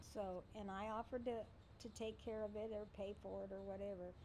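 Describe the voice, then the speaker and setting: Against noticeable background noise, a woman speaks at a fairly quick pace with fairly even intonation. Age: 60s. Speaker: mother and grandmother interviewed about family. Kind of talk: interview storytelling.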